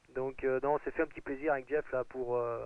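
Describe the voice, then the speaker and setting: This man talks in a Picard accent. His pitch is medium. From Picardy, northern France. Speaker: amateur radio operator. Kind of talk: radio contact chat. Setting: shortwave radio contact. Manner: halting, many hesitations.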